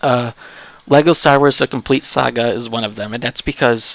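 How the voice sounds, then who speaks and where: A man's medium-pitched voice with ordinary pitch variation at a moderate pace, in a dry, close sound with no echo. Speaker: gaming streamer. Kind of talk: casual chat. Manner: halting.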